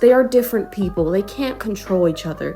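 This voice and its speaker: The voice belongs to a woman. Behind her, music can be heard. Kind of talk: video essay narration. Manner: improvised, casual.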